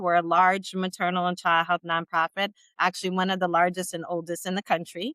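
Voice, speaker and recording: With a bright, sharp tone, a woman talks at a fairly quick pace in a dry, close sound with no echo. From Jamaica. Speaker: maternal health nonprofit director. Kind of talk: panel discussion. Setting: video call.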